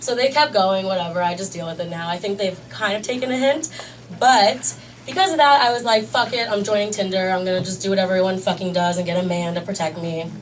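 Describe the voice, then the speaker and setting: A woman's very fast, lively voice at a medium pitch, with a US East Coast accent, audible room echo and noticeable background noise. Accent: US East Coast, fast talker. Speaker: stand-up comedian. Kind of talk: stand-up. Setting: stage with audience.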